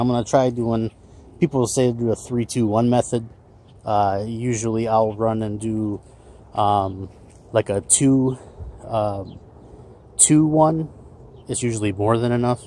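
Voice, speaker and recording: A man speaks at a fairly slow pace in a dark, mellow tone, leaving long, frequent pauses, with a dry sound and no echo. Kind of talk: casual tutorial. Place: garden. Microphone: phone near.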